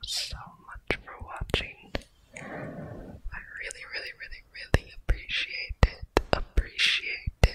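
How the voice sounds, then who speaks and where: The voice is soft-spoken, whispering at a very slow pace. Loud background noise fills the recording. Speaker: ASMR creator. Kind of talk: soft ASMR outro chat. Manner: soft close-mic ASMR whisper. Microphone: studio mic.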